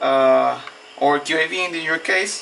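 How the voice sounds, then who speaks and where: A man speaks with a Spanish accent over noticeable background noise. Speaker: hobbyist tinkerer. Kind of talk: tutorial. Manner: halting.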